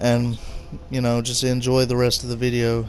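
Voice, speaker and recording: A moderately paced male voice, medium in pitch, with monotone, flat intonation. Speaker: gaming YouTuber. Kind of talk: game review with gameplay commentary. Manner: halting, many fillers and stutters.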